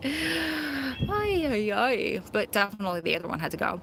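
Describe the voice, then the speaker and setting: An animated woman with an American accent, over noticeable background noise. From Long Island, New York, then New Jersey. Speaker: live-stream host, prison wife. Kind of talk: casual chat. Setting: outdoors.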